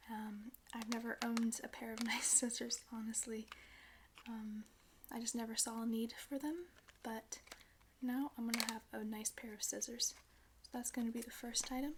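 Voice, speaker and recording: Against noticeable background noise, a soft-spoken woman with a fairly high pitch talks at a moderate pace in a monotone, flat way, with long, frequent pauses. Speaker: ASMR creator. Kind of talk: ASMR unboxing.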